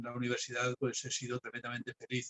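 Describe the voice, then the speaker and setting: A somewhat breathy man's voice at a fairly quick pace. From Spain. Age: 60s. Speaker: philosophy professor. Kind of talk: lecture. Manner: hesitant with fillers.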